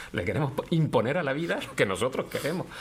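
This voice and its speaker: Fairly high in pitch, a man talks at a fairly quick pace. Noticeable background noise runs behind him. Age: 60s. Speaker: philosophy professor. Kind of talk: interview conversation. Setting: law office.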